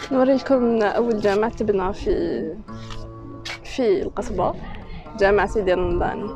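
Speaking at a very slow pace with very even loudness and ordinary pitch variation, the voice leaves long, frequent pauses over clear background music in a dry recording with no echo. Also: woman. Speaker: travel vlogger. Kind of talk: casual vlog chat. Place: street. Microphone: phone near.

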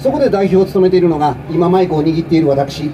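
A man races through his words very fast, with ordinary pitch variation and light background noise. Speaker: politician at a street rally. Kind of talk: political street speech. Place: street. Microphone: pa.

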